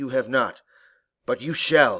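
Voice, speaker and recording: A raspy, put-on character voice from a man, in a very clean recording with a silent background. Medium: read story. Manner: low.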